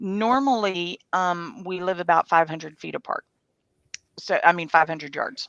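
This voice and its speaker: In a dry, close recording with no echo, a woman with a fairly low pitch and ordinary pitch variation speaks at a moderate pace, her loudness swinging widely. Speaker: livestream host. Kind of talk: casual chat.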